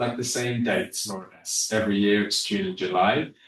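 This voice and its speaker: A man speaks at a moderate pace. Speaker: university representative. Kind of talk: informational presentation. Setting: webinar. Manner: hesitant, many fillers.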